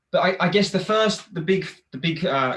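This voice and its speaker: A man with a British accent speaks using lively intonation. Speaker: festival Q&A interviewer. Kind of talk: interview. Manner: hesitant.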